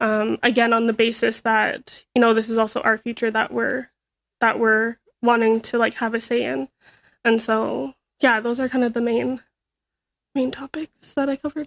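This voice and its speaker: In a dry, close sound with no echo and a very clean recording with a silent background, a woman with an ordinary speaking voice talks at a moderate pace and fairly high pitch. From northeastern British Columbia, Canada (First Nations). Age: 20s. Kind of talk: testimony to a Senate committee. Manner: casual, many fillers and restarts.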